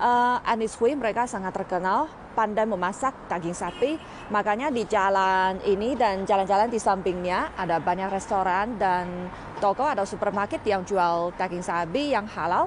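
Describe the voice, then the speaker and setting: Noticeable background noise sits under a woman speaking at a moderate pace. The sound is dry, with no echo. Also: ordinary pitch variation. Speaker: travel vlogger. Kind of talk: casual vlog chat. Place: street. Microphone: earbuds.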